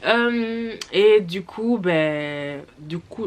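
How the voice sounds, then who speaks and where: This is a woman's voice. Her intonation is lively. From Flanders, Belgium. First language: Dutch (speaking French). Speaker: YouTuber. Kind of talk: storytime. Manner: hesitant, many fillers.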